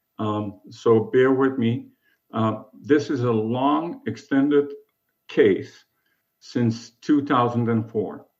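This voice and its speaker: Audible room echo surrounds a man at a medium pitch. He speaks at a very slow pace with ordinary pitch variation. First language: German. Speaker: self-represented appellant. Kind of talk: court oral argument. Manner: formal.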